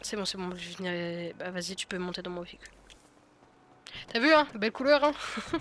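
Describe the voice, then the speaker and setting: A woman at a medium pitch and moderate pace, lively intonation, big swings in loudness and long, frequent pauses, with noticeable background noise. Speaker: gaming youtuber. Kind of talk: gameplay tutorial. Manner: halting, many fillers.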